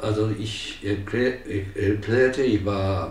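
A man at a very slow pace, ordinary pitch variation, and audible room echo. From Japan. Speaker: volunteer senior teacher at a school. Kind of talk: interview answer. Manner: hesitant, many filler sounds. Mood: cheerful, warm. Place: home room.

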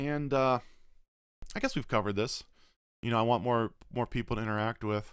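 Recorded dry with no echo over a quiet background, a man talks at a moderate pace. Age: 20s. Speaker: streamer and vlogger; streamer, vlogger. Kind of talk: casual Q&A video blog. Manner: hesitant with many fillers. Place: home room. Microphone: studio mic.

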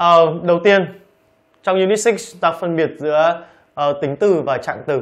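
Over a quiet background, a man talks at a high pitch. His pitch varies in an ordinary way. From Vietnam. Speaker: English teacher. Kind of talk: lecture. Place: studio.

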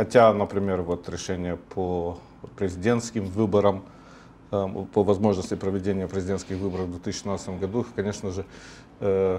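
The voice has a dark, mellow tone. Light background noise is present. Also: man. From Moldova. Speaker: political scientist. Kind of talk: TV political talk show discussion. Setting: TV studio. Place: studio. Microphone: lapel.

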